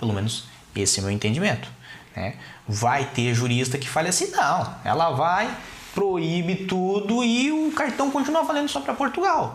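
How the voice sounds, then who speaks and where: Through noticeable background noise and audible room echo, a man speaks at a moderate pace. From Brazil, Curitiba. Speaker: lawyer. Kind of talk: interview.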